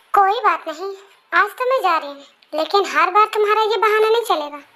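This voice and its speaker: This woman puts on a character voice at an extremely high pitch. She moves at a fairly quick pace with lively intonation. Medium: read story. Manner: mixes English phrases, sassy.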